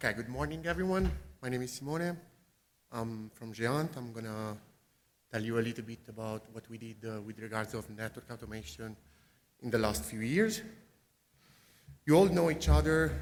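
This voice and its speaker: At a moderate pace and medium pitch, a man speaks with very wide pitch swings and big swings in loudness. Long, frequent pauses break up his speech. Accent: Italian. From Italy, Pisa. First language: Italian. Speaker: network engineer presenting. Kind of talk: conference talk.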